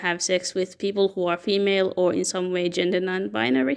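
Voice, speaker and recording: A woman with a non-native accent, medium pitch and a fairly quick pace. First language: not English. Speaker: fan fiction commentator. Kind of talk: explainer monologue. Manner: halting.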